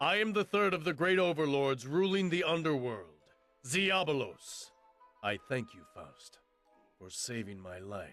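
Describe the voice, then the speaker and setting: A man's put-on character voice, fairly high in pitch, with very wide pitch swings, big swings in loudness, a moderate pace and faint music in the background. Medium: video game. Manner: proud, intense.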